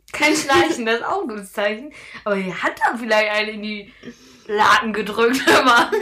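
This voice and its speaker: With noticeable background noise behind her, a woman talks at a moderate pace and fairly high pitch, showing ordinary pitch variation and big swings in loudness. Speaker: podcast co-host. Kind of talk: casual chat.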